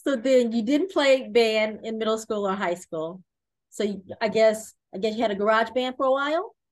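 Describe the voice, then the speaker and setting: A woman with a plain, everyday voice speaks at a fairly high pitch and moderate pace with ordinary pitch variation. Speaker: podcast host. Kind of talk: interview.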